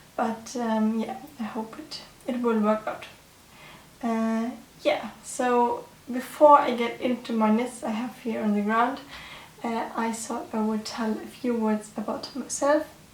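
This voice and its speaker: Fairly high female voice at a fairly slow pace with fairly even intonation, audible room echo and noticeable background noise. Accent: German. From Germany. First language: German. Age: 20s. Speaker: knitting podcaster. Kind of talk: casual chat. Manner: halting.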